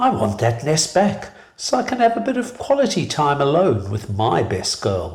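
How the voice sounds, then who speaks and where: A put-on character voice from a man, husky and fairly high-pitched, with very wide pitch swings at a moderate pace. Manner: flirtatious, intimate.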